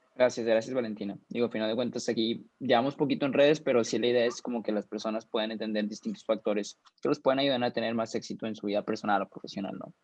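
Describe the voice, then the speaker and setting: A very fast man's voice at medium pitch, fairly even in intonation, with hardly any pauses and a dry, close sound with no echo. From Mexico. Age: 20s. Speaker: young investor and finance mentor. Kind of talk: interview. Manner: halting, many fillers.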